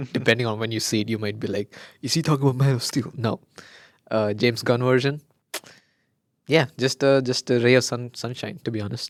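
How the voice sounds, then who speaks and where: A man's medium-pitched voice in a Keralan accent, fairly quick with long, frequent pauses and fairly even intonation, dry and close with no echo on a very clean recording with a silent background. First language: Malayalam. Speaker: podcast co-host. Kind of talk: casual chat.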